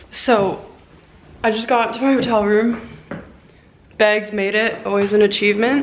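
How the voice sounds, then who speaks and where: A woman's fairly high, flat monotone at a moderate pace, broken by long, frequent pauses, with noticeable background noise and audible room echo. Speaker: professional swimmer vlogger. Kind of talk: casual travel vlog. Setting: airport.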